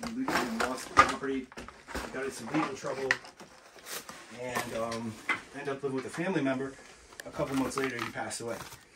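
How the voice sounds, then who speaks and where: Loud background noise surrounds a man's voice. He speaks at a very fast pace with ordinary pitch variation. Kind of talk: casual vlog narration. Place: home room.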